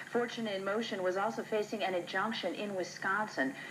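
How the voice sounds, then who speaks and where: A woman with a plain, everyday voice, lively intonation and a moderate pace. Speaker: local TV news anchor. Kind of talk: TV news anchor read.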